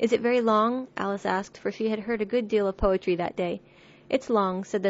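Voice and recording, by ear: The words are read aloud in a natural voice.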